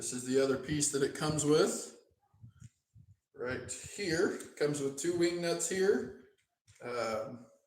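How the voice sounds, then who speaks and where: Somewhat breathy and fairly high-pitched, a man speaks at a fairly slow pace with ordinary pitch variation and long, frequent pauses, and the room has an audible echo. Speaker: DJ equipment demonstrator. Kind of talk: live stream tutorial. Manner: slow, step-by-step.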